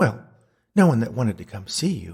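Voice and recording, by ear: A man at medium pitch uses a put-on character voice with big pitch swings, vocal fry and a husky, rough edge, at a moderate pace.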